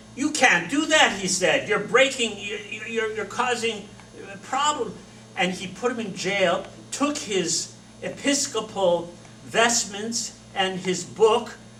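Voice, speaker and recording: A man with a high pitch and ordinary pitch variation speaks at a very slow pace in a raised, projected voice, with audible room echo and noticeable background noise. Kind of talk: lecture. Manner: loud; animated.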